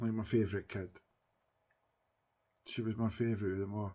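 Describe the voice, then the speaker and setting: On a very clean recording with a silent background, a man with a Scottish accent talks fairly quickly in a fairly low pitch, his dark, mellow tone held to a monotone, flat intonation. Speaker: TikTok live streamer. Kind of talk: casual chat. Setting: livestream. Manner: loud.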